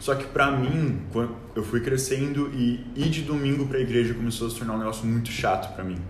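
Talking at a very fast pace with hardly any pauses, a man holds a medium pitch and fairly even intonation, amid noticeable background noise and audible room echo. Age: 19. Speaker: youth leader and university student. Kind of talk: casual chat, faith testimony. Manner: halting, many filler words.

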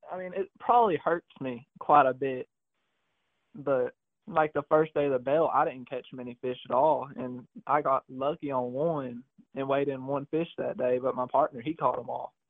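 With a normal speaking voice, a man talks at a moderate pace, his fairly high pitch showing ordinary pitch variation. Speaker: bass fishing tournament angler. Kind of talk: casual interview.

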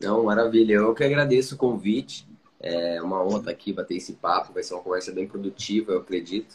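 Talking at a very fast pace, a man speaks with a fairly low pitch. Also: ordinary pitch variation. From Curitiba, southern Brazil. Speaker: podcaster and content creator. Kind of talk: casual interview chat.

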